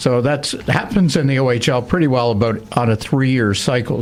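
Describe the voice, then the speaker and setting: Over noticeable background noise, a man speaks at a fairly quick pace with medium pitch and ordinary pitch variation. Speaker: radio hockey play-by-play broadcaster. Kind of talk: interview answer. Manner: casual, conversational.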